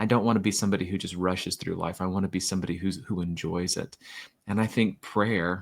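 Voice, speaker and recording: A man with an American accent talks at a very fast pace in a very deep, low, monotone voice. The recording is very clean, with a silent background. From Florida. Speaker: children's author and poet. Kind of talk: podcast interview. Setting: podcast.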